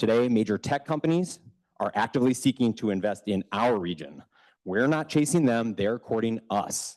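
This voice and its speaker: A man at a medium pitch speaks at a moderate pace with lively intonation, the sound dry and close with no echo over a quiet background. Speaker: economic development business recruiter, public commenter. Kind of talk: public comment at city council meeting, prepared statement. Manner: loud; formal, read from prepared text.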